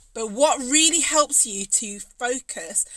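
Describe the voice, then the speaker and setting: A woman with a Birmingham accent sounds animated, her pitch varying in an ordinary way. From English Midlands, Birmingham. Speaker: cake maker and business coach. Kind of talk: live stream talk to viewers.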